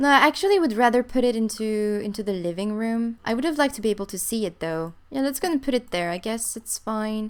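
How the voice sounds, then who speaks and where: On a very clean recording with a silent background, a woman speaks in a non-native accent at a fairly high pitch. She talks at a very fast pace with lively intonation and hardly any pauses. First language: not English. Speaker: gaming YouTuber. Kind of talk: let's play commentary. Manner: animated.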